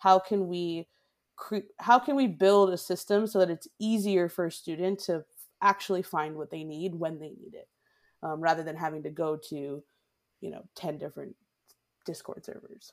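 In a very clean recording with a silent background, a woman with a normal speaking voice and an American accent talks at a moderate pace, her pitch fairly low with ordinary variation and big swings in loudness. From Massachusetts. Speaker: startup founder and former teacher. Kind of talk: interview.

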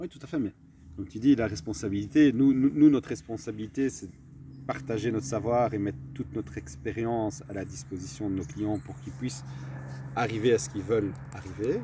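Talking at a fairly quick pace, a man with a fairly low pitch makes very wide pitch swings and big swings in loudness. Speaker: entrepreneur and mindset coach. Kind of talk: casual interview. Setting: outdoors in a garden.

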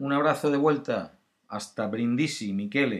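In a very clean recording with a silent background, a man talks at a fairly slow pace with lively intonation. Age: 50s. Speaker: podcast host, former actor. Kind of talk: casual solo talk. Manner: hesitant, filler-heavy.

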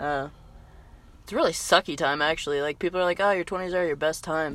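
Against a silent background on a very clean recording, a woman talks at a very fast pace. Her pitch variation is ordinary. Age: 20s. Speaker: podcast co-host. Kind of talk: casual chat. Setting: in a truck.

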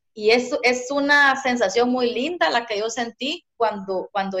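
Speaking at a fairly slow pace with a Guatemalan accent, a woman uses lively intonation and a high pitch. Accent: Guatemalan, sing-song. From eastern Guatemala, Zacapa. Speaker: social worker and poet. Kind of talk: casual interview. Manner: sing-song.

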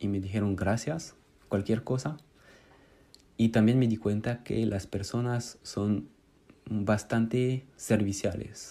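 In a French accent, a man speaks very slowly with long, frequent pauses. His fairly low voice has a dark, mellow tone and fairly even intonation. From France. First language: French (speaking Spanish). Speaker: Spanish student. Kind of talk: recorded monologue.

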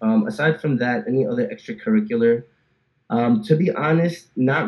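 A man with a New Jersey accent speaks at a medium pitch with lively intonation. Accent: New Jersey American. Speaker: software engineer. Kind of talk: casual interview chat.

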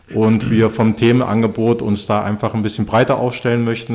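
Here is a man with an unremarkable speaking voice. His pitch is medium and his pace moderate. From East Germany. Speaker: youth football coach and podcast host. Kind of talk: casual chat.

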